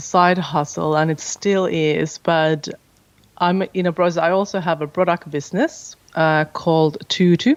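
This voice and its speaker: The speaker has a Finnish accent. The pace is fairly slow. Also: woman. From Finland. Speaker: podcast host and business owner. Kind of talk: interview.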